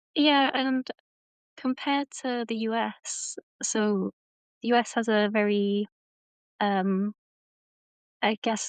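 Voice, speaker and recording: A woman with a British accent, very slow and broken by long, frequent pauses, fairly high in pitch and fairly even in intonation, in a dry, close sound with no echo. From Britain. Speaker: tourism designer. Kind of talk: interview podcast. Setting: live stream.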